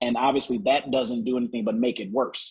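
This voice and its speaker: The man has an unremarkable speaking voice, medium in pitch with ordinary variation, delivered at a fairly quick pace. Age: 50s. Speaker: naturopathic doctor. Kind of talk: sales pitch.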